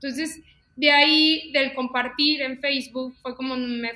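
Over noticeable background noise, a woman speaks in a raised, projected voice at a high pitch. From León, Guanajuato, Mexico. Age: 20s. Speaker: fashion designer and stylist. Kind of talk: casual interview chat.

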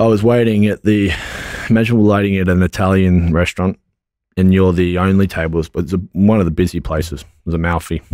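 Very fast and in an Australian accent, a man speaks at a very deep, low pitch with a dark, mellow tone and fairly even intonation. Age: 20s. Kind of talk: interview. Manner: halting.

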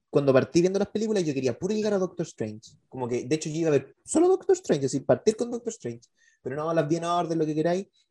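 A man talks at a very fast pace in a high voice, his lively intonation carried by a dark, mellow tone. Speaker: podcast co-host. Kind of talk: casual chat.

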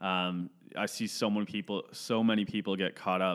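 A man with a Canadian accent and a plain, everyday voice, fairly low in pitch, at a moderate pace with fairly even intonation. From Ontario, Canada (Caledon area). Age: 20s. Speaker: podcast co-host. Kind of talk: casual chat.

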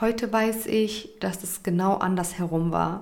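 This is a woman with an ordinary speaking voice. Her pitch is medium and her intonation fairly even. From Germany. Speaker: podcaster and influencer. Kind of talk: personal testimony.

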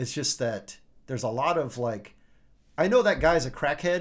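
A man with an American accent, at a fairly slow pace and with very wide pitch swings, on a very clean recording with a silent background. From US Midwest, Champaign, Illinois. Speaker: rock drummer. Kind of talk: casual chat.

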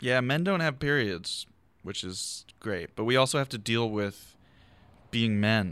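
Lively intonation marks a man's unremarkable speaking voice with an American accent at medium pitch. He talks fairly slowly on a very clean recording with a silent background. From Philadelphia, West Philly. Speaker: comedian podcast host. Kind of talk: casual chat. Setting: garage.

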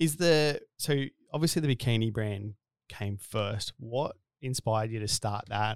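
A man's medium-pitched voice with an Australian accent and ordinary pitch variation, dry and close with no echo, on a very clean recording with a silent background. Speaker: podcast host and business co-founder. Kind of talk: casual interview chat. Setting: studio. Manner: jokey, casual.

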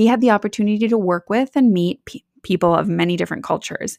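A woman's lively intonation in a dry, close sound with no echo. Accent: Midwestern American. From US Midwest, Wisconsin. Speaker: podcast host, life coach. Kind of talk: interview. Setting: remote call.

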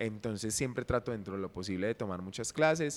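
A man talks at a moderate pace in an unremarkable speaking voice. His pitch is fairly low, and his intonation is lively. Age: 20s. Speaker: dancer and dance teacher. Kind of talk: casual chat. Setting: gym.

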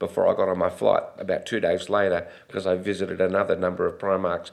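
Against a quiet background, a man with an Australian accent talks at a fairly quick pace. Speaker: retail executive. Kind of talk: interview storytelling.

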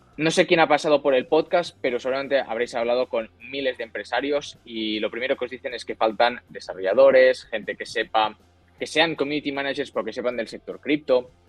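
With music in the background, the voice moves at a fairly quick pace and shows ordinary pitch variation. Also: man, fairly high pitch for a man. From Spain, Barcelona. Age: 20s. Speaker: crypto company CEO. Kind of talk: interview.

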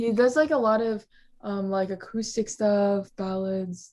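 With an American accent, a woman of medium pitch uses a normal speaking voice, ordinary pitch variation and a fairly slow pace on a very clean recording with a silent background. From US Midwest, Ohio. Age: young. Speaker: singer-songwriter and college student. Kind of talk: casual chat.

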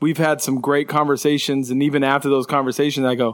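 This man has an unremarkable speaking voice, fairly high in pitch, with fairly even intonation and an American accent. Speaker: musician. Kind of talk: casual conversation.

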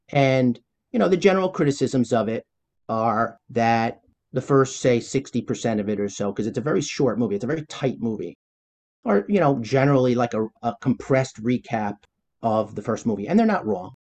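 His pitch sits in the medium range, and he uses a normal speaking voice. The man moves at a fairly quick pace with ordinary pitch variation. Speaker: cartoonist and toy designer. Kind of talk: casual chat.

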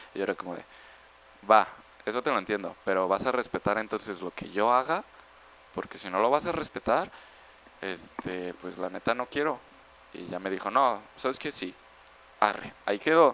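This man talks at a moderate pace in a fairly low pitch, his intonation lively and broken by long, frequent pauses. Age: 20s. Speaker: math student. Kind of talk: casual chat.

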